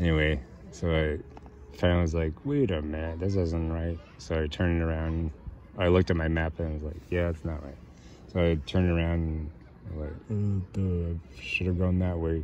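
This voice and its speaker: A man speaks at a moderate pace in a very deep, low voice with a dark, mellow tone, leaving long, frequent pauses, the sound dry with no echo over light background noise. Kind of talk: casual vlog chat. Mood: relaxed, self-mocking. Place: open country.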